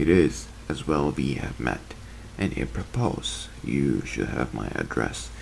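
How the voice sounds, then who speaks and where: A man uses a husky, put-on character voice at a fairly slow pace. Background noise is clearly audible. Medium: read story. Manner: curt, suspicious, quick to anger.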